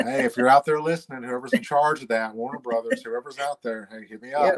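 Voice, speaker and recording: A man with a Tennessee accent speaks at a fairly quick pace with lively intonation and big swings in loudness, the sound dry and close with no echo. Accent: deep Southern, Tennessee. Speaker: singer and voice performer; interviewee.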